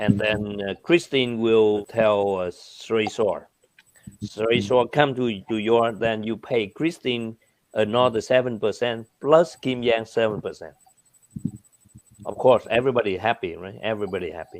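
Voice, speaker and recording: A man with a Vietnamese accent talks at medium pitch and a moderate pace, with ordinary pitch variation and big swings in loudness. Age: 60s. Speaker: businessman. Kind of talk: interview answers, explaining. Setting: video call. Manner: animated.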